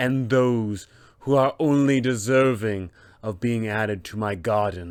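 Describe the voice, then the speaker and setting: A man performs a put-on character voice. He speaks fairly slowly at a medium pitch. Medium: tutorial demo. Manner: imperious, menacing.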